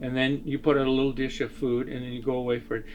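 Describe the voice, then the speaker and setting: There is noticeable background noise. The man's voice sits fairly high. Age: 70s. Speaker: artist. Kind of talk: interview. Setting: artist's studio. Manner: halting.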